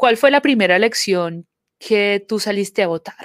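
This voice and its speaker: Recorded very cleanly with a silent background and a dry, close sound with no echo, a woman speaks in a Colombian accent. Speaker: community organization manager, podcast co-host. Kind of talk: casual chat.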